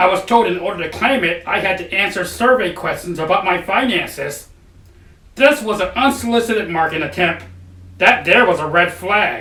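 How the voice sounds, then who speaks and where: A man uses a cartoonish character voice, high-pitched, raised and projected. He talks at a moderate pace. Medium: puppet show. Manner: plain, explanatory.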